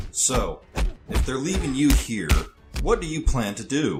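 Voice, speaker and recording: Over faint background music, a man does a put-on character voice at medium pitch and a moderate pace. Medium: audio drama. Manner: cold, taunting.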